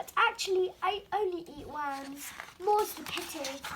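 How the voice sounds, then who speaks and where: A woman speaks in a put-on character voice. Her pitch is extremely high, and her pace is moderate. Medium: read story. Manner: polite, mild.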